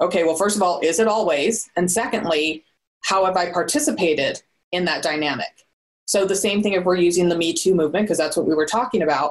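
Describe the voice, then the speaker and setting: A woman speaks very fast with an American accent. Her pitch is fairly low, with ordinary variation. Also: very even loudness. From Southern California. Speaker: business consultant. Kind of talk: interview.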